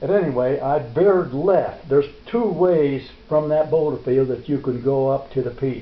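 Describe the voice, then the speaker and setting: Noticeable background noise runs under a man talking at a fairly slow pace. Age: 80s+. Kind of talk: storytelling interview, recounting a memory. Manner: vigorous, lively.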